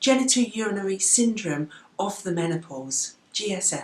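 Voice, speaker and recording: With an English accent, a woman speaks in very wide pitch swings over noticeable background noise. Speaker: doctor vlogger. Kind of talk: health education vlog. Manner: conversational.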